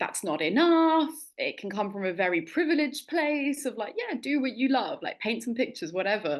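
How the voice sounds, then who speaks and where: Against a quiet background, a woman with a London accent speaks at a moderate pace, her pitch swinging very widely. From England, London. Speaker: interviewer, mentor, founder. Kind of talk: interview conversation.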